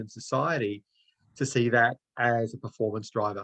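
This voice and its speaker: A man speaks at a moderate pace and medium pitch in a monotone, flat intonation. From Australia. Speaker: author and anti-racism consultant. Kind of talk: online discussion.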